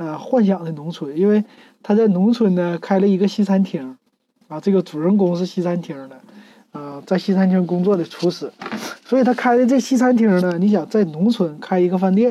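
This woman has a plain, everyday voice at a medium pitch, with ordinary pitch variation and a moderate pace. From Northeast China, Shenyang. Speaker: podcast host. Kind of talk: casual monologue review. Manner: relaxed, many fillers.

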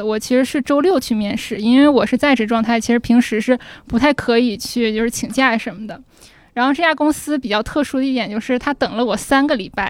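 A woman speaks at a high pitch and a fairly quick pace, with ordinary pitch variation. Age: 20s. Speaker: audience guest sharing a story. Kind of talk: casual chat before a live audience. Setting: stage with audience.

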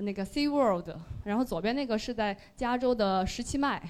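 A high-pitched woman at a moderate pace with ordinary pitch variation. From Sichuan. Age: 30s. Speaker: listener sharing at a fan meetup. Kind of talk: presentation to live audience. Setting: stage with audience.

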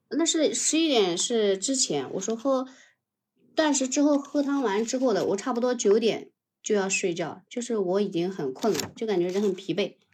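The woman has an unremarkable speaking voice at a fairly high pitch, delivered at a moderate pace. Her recording is very clean with a silent background. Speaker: livestream caller sharing keto experience. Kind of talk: casual chat.

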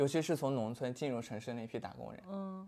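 Lively intonation and a dark, mellow tone mark this man's fairly quick delivery. The recording is very clean, with a silent background. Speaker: former product manager. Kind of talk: casual chat.

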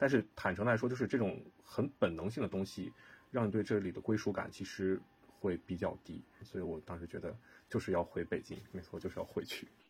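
Somewhat breathy, a man speaks at a fairly quick pace. His pitch is fairly low with ordinary variation. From northern China. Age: 30s. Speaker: real estate project manager. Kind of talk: casual chat.

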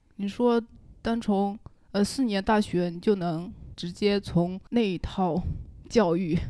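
A woman with a dark, mellow tone speaks at a medium pitch with ordinary pitch variation, recorded very cleanly against a silent background. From Wenzhou, Zhejiang (Longwan). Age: young. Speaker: painter. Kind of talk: casual chat.

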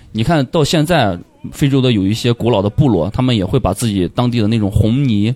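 Keeping his loudness very even, a man speaks fairly quickly in a dark, mellow tone. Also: medium pitch for a man, ordinary pitch variation. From Pucheng, Shaanxi (rural). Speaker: dreadlock stylist and stand-up comedian. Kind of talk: casual chat.

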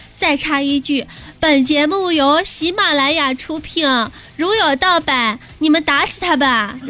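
Over noticeable background noise, a woman projects a raised, high-pitched voice at a fairly slow pace with ordinary pitch variation. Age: 20s. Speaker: podcast host. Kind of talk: comedic monologue. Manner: animated.

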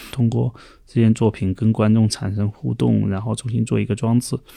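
A man speaks in a fairly low voice with a dark, mellow tone and fairly even intonation. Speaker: independent curator. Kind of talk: casual chat.

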